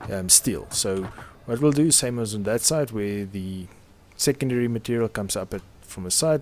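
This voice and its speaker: A man with a non-native accent speaks at a fairly slow pace in a fairly low voice, with ordinary pitch variation. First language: not English. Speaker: video game commentator. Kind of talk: gameplay commentary.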